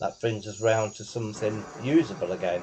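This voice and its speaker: Noticeable noise behind a man's fairly slow speech. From England. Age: 60s. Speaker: gaming video creator. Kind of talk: gameplay tutorial. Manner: casual, halting.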